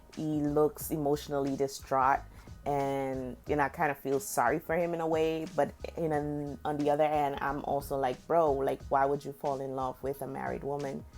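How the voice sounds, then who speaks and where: Over music in the background, a woman with a Guyanese accent speaks at a moderate pace in a very deep, low pitch and an animated tone. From Guyana. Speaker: beauty vlogger. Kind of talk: casual chat while doing makeup.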